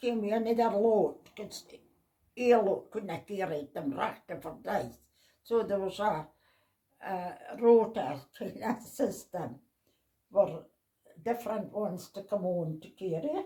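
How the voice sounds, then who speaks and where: Speaking in a northeast Scottish accent, a woman with a medium-pitched, dark, mellow, somewhat breathy voice talks at a fairly slow pace, using lively intonation, big swings in loudness and long, frequent pauses. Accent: Doric. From North East Scotland, Sandend / Portsoy. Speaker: family elder recalling village life. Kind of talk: casual interview chat.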